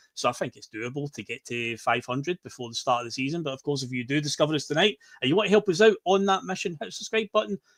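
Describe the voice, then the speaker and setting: A man with a Scottish accent speaks very fast at a fairly high pitch, with hardly any pauses. His pitch swings very widely and his loudness swings a lot, in a dry, close sound with no echo. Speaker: podcast host. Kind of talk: casual chat.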